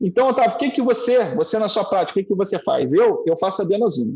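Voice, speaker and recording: A man speaks at a fairly quick pace. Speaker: cardiologist. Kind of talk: lecture. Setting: online live stream. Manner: fast.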